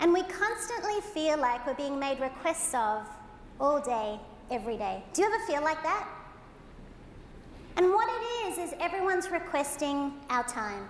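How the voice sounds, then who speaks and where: A woman with an Australian accent speaks at a high pitch with very wide pitch swings, keeping a moderate pace broken by long, frequent pauses, and audible room echo surrounds her voice. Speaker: motivational keynote speaker. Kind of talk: keynote presentation. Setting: stage with audience. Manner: animated.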